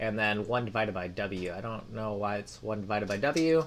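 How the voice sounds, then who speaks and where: The man speaks fairly quickly, and his pitch varies in an ordinary way. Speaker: programming tutorial creator. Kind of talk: live coding tutorial. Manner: halting, many fillers; casual.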